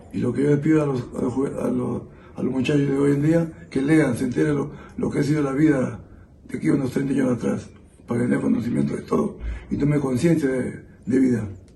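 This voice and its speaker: With audible room echo, a man talks fairly quickly at a medium pitch and ordinary pitch variation. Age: 60s. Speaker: interviewee, witness of terrorism era. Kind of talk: testimony. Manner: halting.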